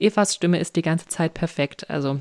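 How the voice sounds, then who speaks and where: A woman with an ordinary speaking voice and fairly low pitch, in a very clean, dry, close recording with a silent background and no echo. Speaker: podcast host. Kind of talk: casual interview chat. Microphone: voice sometimes robotic and slow due to internet connection.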